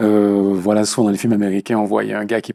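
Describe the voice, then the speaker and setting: A man with a Martinican accent speaks in a flat monotone at a fairly low pitch, his tone dark and mellow, on a very clean, dry, close recording with a silent background and no echo. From Martinique. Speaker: actor. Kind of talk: interview. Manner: hesitant, many fillers.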